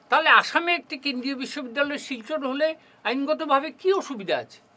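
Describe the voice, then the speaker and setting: A raised, projected voice carries over noticeable background noise. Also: man, big swings in loudness. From Barak Valley, Assam, India. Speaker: student movement founder and lawyer. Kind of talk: studio interview. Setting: studio.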